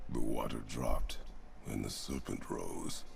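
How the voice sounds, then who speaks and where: Someone doing a put-on character voice speaks at a moderate pace with clear background noise. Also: man. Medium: game stream. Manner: terse, stern.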